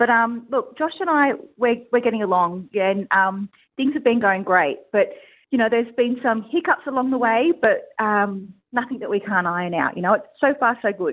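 Speaking at a moderate pace with an Australian accent, a woman uses a fairly high pitch and lively intonation. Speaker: reality TV contestant. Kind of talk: interview. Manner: loud.

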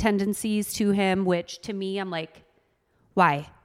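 At a fairly slow pace, a woman speaks with medium pitch and fairly even intonation in a very clean recording with a silent background. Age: 30s. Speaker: mom and social media creator. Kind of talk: casual chat.

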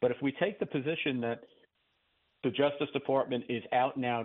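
A man speaks at a fairly quick pace with ordinary pitch variation. His is a plain, everyday voice. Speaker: former federal prosecutor, legal commentator. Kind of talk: interview. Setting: phone call.

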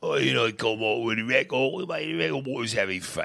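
Putting on a character voice with a British accent, a man mumbles at a moderate pace. His pitch is medium.

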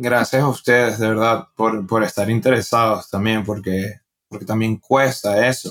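A man with a Venezuelan accent speaks fairly slowly at a medium pitch with fairly even intonation. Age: 20s. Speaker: stand-up comedian. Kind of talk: casual interview.

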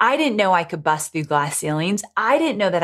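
A woman talks at a fairly quick pace in an American accent. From US West Coast (Orange County, California). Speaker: author and digital marketer. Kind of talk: interview.

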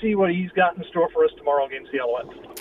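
A man speaks at a fairly quick pace. There is noticeable background noise. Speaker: football commentator. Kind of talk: casual sports talk.

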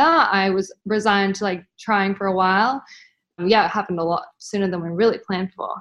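A woman with an Australian accent talks at a very fast pace and medium pitch with ordinary pitch variation against a quiet background. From Australia, Brisbane. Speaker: mother sharing birth story. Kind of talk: interview.

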